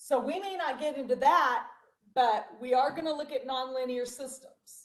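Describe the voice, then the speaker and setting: The voice is loud, with ordinary pitch variation at a moderate pace. Audible echo from the room surrounds it. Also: woman, high pitch for a woman. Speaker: math teacher. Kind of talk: online class lecture.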